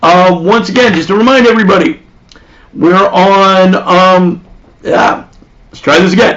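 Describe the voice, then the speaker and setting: A man's high-pitched voice at a fairly slow pace, with long, frequent pauses, big swings in loudness, ordinary pitch variation and noticeable background noise. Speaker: comedian. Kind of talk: comedic monologue.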